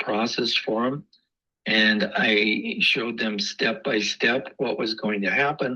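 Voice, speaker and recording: A man's bright, sharp voice at a fairly slow pace with ordinary pitch variation. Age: 60s. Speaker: real estate agent. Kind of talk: casual interview chat. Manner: hesitant, many fillers.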